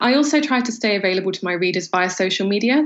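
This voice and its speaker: Noticeable background noise is present. The speaker's intonation is lively. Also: woman. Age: 20s. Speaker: novelist. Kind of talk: interview.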